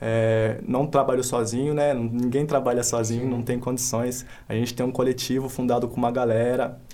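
At a moderate pace, a man with a medium pitch speaks amid audible room echo. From Brazil, Paulínia (São Paulo state). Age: 20s. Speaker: MC and street artist. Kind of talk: casual interview. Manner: casual slangy speech.

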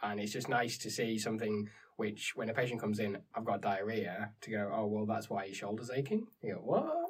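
A man's fairly low, monotone, flat delivery at a fairly quick pace with hardly any pauses. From northern England. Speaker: medical student, former nurse. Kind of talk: casual educational discussion.

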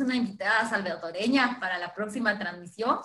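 A woman with a Guatemalan accent, fairly high pitch, ordinary pitch variation and a moderate pace, amid audible room echo and noticeable background noise. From Guatemala, Chichicastenango. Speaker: co-host. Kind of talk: live social media stream chat.

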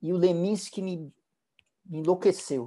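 Against a quiet background, a man talks at a fairly slow pace with a dark, mellow tone. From Brazil, São Paulo. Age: 60s. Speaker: musician. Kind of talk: interview.

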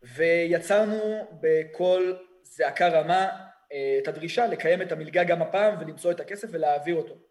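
High pitch from a man at a fairly slow pace. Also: ordinary pitch variation. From Israel, Kfar Saba. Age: 20s. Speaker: student protest leader, army veteran. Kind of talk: podcast interview.

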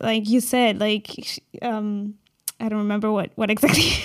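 Her voice is fairly high, with a German accent, at a moderate pace. The woman's sound is dry and close with no echo. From Germany. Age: 20s. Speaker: podcast host. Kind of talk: casual chat.

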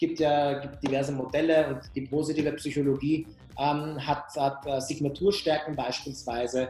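Fairly high-pitched, a man speaks at a moderate pace. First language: not German (speaking German). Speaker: HR tech company founder. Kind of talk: interview. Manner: repetitive fillers.

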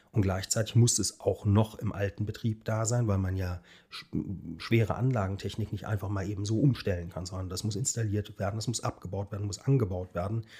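A man's fairly low, dark, mellow voice, somewhat breathy, with fairly even intonation and a fairly quick pace, in a very clean recording with a silent background. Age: 40s. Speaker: architect. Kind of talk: casual interview.

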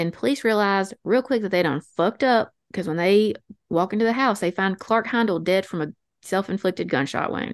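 A woman speaks at a fairly quick pace with a medium pitch and ordinary pitch variation. The sound is dry and close with no echo, against a quiet background. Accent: Appalachian. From North Alabama. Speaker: podcast host. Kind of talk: true crime storytelling. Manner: fast.

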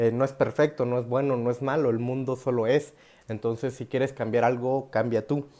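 A dark, mellow tone at a very fast pace. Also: man. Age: 20s. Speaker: spiritual youtuber. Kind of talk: improvised monologue. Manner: casual, with laughter.

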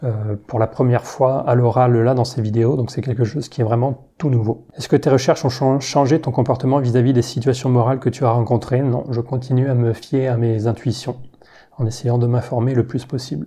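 Over a quiet background, a man speaks at a fairly quick pace in a medium pitch, his dark, mellow tone somewhat breathy and his intonation fairly even. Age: 30s. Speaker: science YouTuber. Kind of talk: Q&A video monologue. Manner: hesitant with fillers.

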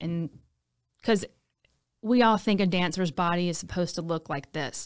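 On a very clean recording with a silent background, a woman with an American accent speaks at a moderate pace and a fairly low pitch. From Louisiana, Baton Rouge. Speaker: hairstylist and fitness instructor. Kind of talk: casual chat.

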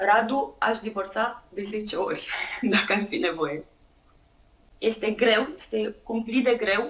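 Over noticeable background noise, a woman with a fairly high pitch speaks very slowly, leaving long, frequent pauses. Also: ordinary pitch variation. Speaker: entrepreneur and blogger. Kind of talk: interview testimony. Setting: remote call.

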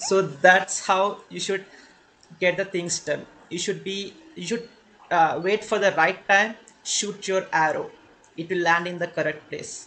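A man with an Indian accent speaks in a raised, projected voice, high in pitch with a bright, sharp tone. His pace is fairly slow, his intonation fairly even, and he takes long, frequent pauses. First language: Telugu. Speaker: podcast host. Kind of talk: casual interview chat.

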